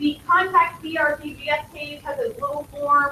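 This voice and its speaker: A woman projects a raised voice at a high pitch amid noticeable background noise. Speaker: school technology support staff. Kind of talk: orientation presentation.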